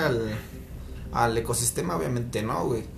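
A man's fairly quick speech amid noticeable background noise and audible room echo. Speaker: podcast host. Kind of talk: casual chat.

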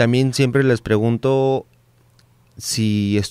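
A man speaks in a flat monotone at a medium pitch. The recording is very clean, with a silent background. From Baja California Sur, Mexico. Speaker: podcast host. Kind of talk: casual interview chat. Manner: halting, with many repetitions.

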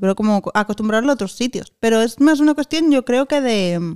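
Recorded with a dry, close sound and no echo, a woman speaks at a moderate pace with a fairly high pitch and ordinary pitch variation. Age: 40s. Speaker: podcast co-host. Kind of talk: casual chat.

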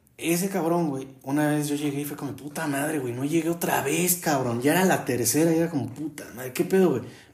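Against noticeable background noise, a man with a fairly high pitch speaks at a fairly quick pace with ordinary pitch variation. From Mexico City. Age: 20s. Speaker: podcaster. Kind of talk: casual monologue. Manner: animated.

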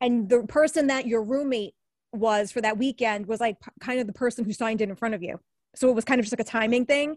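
Talking very fast with an American accent, a woman of fairly high pitch shows ordinary pitch variation and big swings in loudness, captured in a very clean, dry, close recording with no echo and a silent background. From Brooklyn, New York. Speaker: TV and radio newscaster. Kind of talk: casual interview conversation. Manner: chatty, casual.

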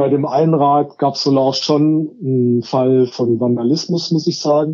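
This man speaks at a fairly high pitch with fairly even intonation. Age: 50s. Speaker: social worker and cargo bike project co-founder. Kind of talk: interview. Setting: phone call. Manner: hesitant, many filler sounds.

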